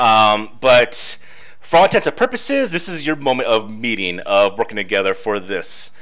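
Here a man speaks with vocal fry. His pitch swings very widely. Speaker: game master. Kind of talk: tabletop roleplaying narration. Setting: online voice chat. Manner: casual, laughs often.

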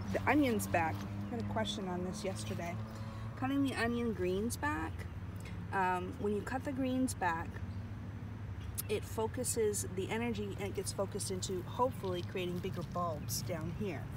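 A woman speaks at a moderate pace with long, frequent pauses. The sound is dry with no echo, and there is noticeable background noise. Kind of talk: casual vlog chat. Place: garden. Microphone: phone near.

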